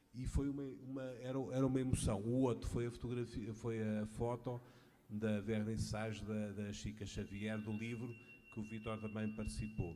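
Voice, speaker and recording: A man with a European Portuguese accent, dark and mellow in tone, at a moderate pace. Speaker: audience member, friend of speaker. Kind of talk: tribute speech. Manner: halting.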